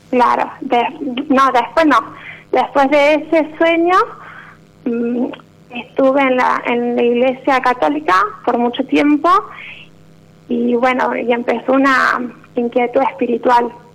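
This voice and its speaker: A woman speaks very slowly in a high voice, with long, frequent pauses and ordinary pitch variation. Her loudness stays very even over noticeable background noise. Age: 20s. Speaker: radio caller. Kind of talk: personal testimony. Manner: halting.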